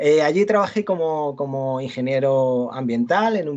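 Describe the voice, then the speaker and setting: A man speaks at a very slow pace. His pitch is fairly high and his intonation lively. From Andalusia, Almería. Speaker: university lecturer. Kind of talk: lecture. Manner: halting, many repetitions and fillers.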